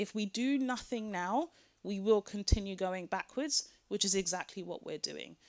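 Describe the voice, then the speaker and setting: A woman with a British accent at medium pitch and moderate pace, with ordinary pitch variation, in a dry, close sound with no echo on a very clean recording with a silent background. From Britain. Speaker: panel speaker on gender and online violence. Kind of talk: conference talk.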